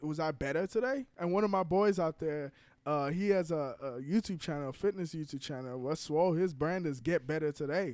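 An ordinary speaking voice from a man, fairly high in pitch with ordinary pitch variation and a fairly quick pace, in a very clean recording with a silent background. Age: 20s. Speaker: startup founder. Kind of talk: casual chat.

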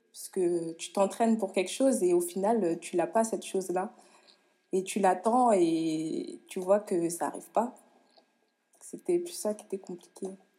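A woman speaks in a dark, mellow tone at a medium pitch with ordinary pitch variation. Her loudness swings widely, and she pauses long and often. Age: 20s. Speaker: professional handball player. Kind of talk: interview.

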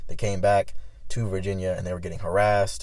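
A man speaks in an animated tone with audible room echo. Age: 20s. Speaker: podcast host. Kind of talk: casual chat.

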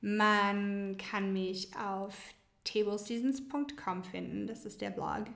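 Audible room echo surrounds a woman speaking at a very slow pace with ordinary pitch variation. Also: medium pitch for a woman. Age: 30s. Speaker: blogger and marketing worker. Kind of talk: casual chat.

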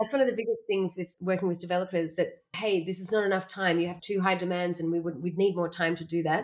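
A woman with an Australian accent talks at a very fast pace with hardly any pauses. Her medium pitch stays under fairly even intonation. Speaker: workshop facilitator. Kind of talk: interview.

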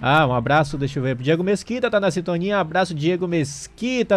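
Pitched high, a man talks at a fairly quick pace. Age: 30s. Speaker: radio host. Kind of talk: live radio talk show.

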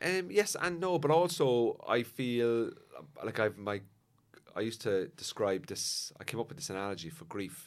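A man with a Cork accent at a medium pitch and a moderate pace, with very wide pitch swings and big swings in loudness, on a very clean recording with a silent background. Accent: Cork Irish. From Cork, Ireland. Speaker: comedian. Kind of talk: casual chat.

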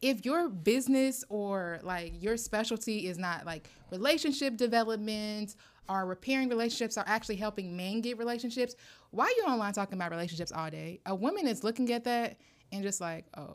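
A woman with a plain, everyday voice, fairly high in pitch, fairly quick, with ordinary pitch variation. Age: 30s. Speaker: podcast co-host. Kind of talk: casual chat.

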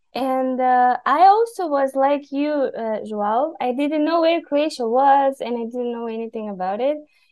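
Speaking with a Bulgarian accent, a woman uses a high pitch, ordinary pitch variation and a moderate pace. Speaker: podcast guest from Bulgaria. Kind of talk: casual conversation.

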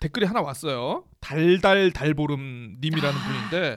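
A man talks here. The background is silent on this very clean recording. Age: 40s. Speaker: podcast host, freelancer. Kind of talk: casual chat.

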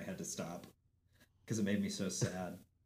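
Audible room echo surrounds a man with an American accent speaking at a moderate pace. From Montana. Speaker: musician and theater performer. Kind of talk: casual chat.

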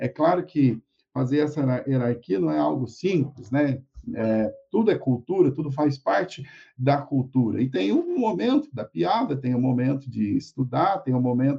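At a fairly slow pace, a man speaks with a somewhat breathy, medium-pitched voice and lively intonation. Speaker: university lecturer and interviewer. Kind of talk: live-streamed academic interview. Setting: live stream.

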